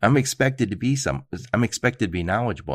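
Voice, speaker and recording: Speaking at a fairly quick pace, this voice has lively intonation and vocal fry. The background is quiet. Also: man. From Michigan (Dearborn). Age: 50s. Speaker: podcast host. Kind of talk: casual interview.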